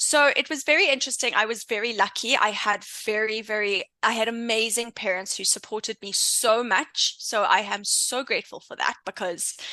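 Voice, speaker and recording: A woman with a South African accent speaks at a moderate pace in a fairly high, bright, sharp voice with ordinary pitch variation. The sound is dry and close, with no echo. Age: 30s. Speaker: intuition coach and entrepreneur. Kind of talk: interview podcast.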